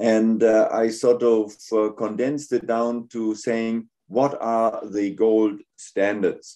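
A man with a German accent speaks very slowly with hardly any pauses. His intonation is monotone and flat, against a quiet background. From Germany. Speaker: gynecologic surgeon and professor. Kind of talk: lecture. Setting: video call. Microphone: video call.

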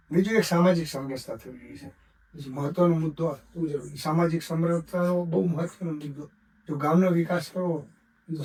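Big swings in loudness alongside ordinary pitch variation. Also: man. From Gujarat, India. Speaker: retired doctor. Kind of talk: interview.

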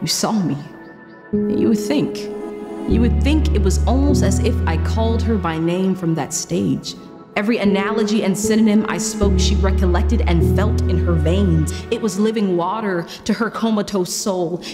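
A woman talks at a moderate pace with loud music playing behind her. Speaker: spoken word artist. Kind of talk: spoken word poetry performance. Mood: earnest, emotional. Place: studio.

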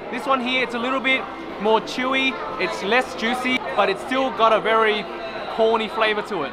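Over clear background noise and clear crowd noise in the background, a man speaks at a moderate pace in an extremely high pitch with fairly even intonation.

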